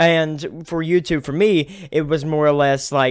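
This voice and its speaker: A man's fairly high-pitched, a plain, everyday voice, fairly slow in pace with fairly even intonation. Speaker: podcast host and streamer. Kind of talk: casual interview chat. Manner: casual, repetitive with frequent restarts.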